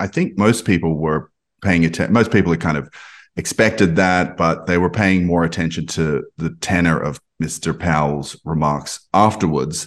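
With an Australian accent and a very deep, low pitch, a man speaks at a moderate pace with ordinary pitch variation against a quiet background. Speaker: podcast host. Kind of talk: casual interview.

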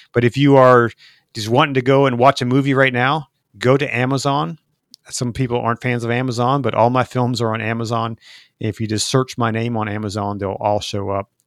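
A man with an unremarkable speaking voice talks at a medium pitch and fairly quick pace with fairly even intonation, in a very clean recording with a silent background and a dry, close sound with no echo. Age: 50s. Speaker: documentary filmmaker and podcast host. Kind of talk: interview conversation.

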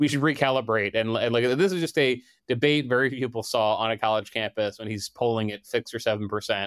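A man with an American accent at medium pitch, very fast with hardly any pauses and ordinary pitch variation, on a very clean recording with a silent background. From Delaware, US. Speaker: political reporter. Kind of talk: interview.

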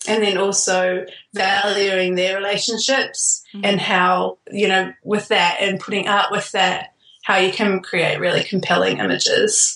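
Her loudness very even, a woman with a New Zealand accent speaks at a fairly slow pace. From raised in New Zealand, born in Queensland, Australia. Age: 20s. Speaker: wedding photographer, podcast guest. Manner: laughs often, chatty.

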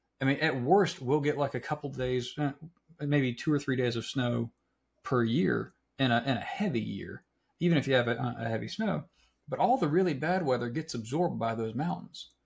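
Speaking with an American accent, a man uses a medium pitch with ordinary pitch variation and vocal fry at a moderate pace. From South Carolina (Florence). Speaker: podcast host. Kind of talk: casual chat.

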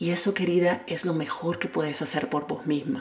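A woman with a plain, everyday voice talks at a moderate pace, pitched fairly low. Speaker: personal development podcaster. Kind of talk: self-help monologue.

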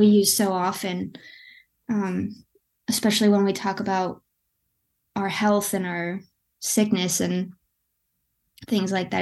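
Against a quiet background, a woman speaks at a moderate pace with a medium pitch. Her intonation is monotone and flat, broken by long, frequent pauses. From West Michigan, US. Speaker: artist. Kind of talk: interview conversation.

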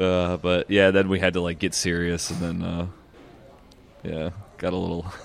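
A man with a very deep, low pitch speaks at a moderate pace in a monotone, flat intonation, with long, frequent pauses. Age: 30s. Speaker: musician in a reunited band. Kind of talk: casual chat. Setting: public space.

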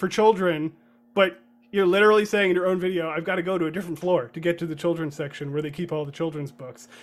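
A man with a high voice talks fairly quickly. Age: 30s. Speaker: podcast host, journalist. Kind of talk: casual chat.

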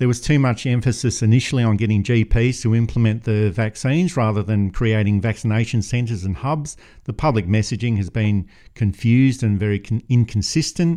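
Speaking at a fairly quick pace, a man with a medium pitch and a dark, mellow tone uses ordinary pitch variation. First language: not English. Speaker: podcast host, editor. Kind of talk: political commentary podcast.

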